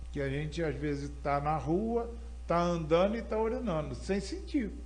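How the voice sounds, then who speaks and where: A man speaking at a moderate pace, with audible room echo. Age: 70s. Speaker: church elder, prostate cancer survivor. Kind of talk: interview testimony. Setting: live online broadcast.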